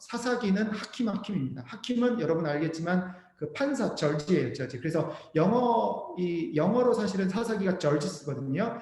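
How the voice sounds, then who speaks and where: A man with a high pitch and lively intonation talks at a moderate pace with hardly any pauses. Both audible room echo and noticeable background noise are present. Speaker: missionary and seminary professor teaching Bible Indonesian. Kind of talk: lecture.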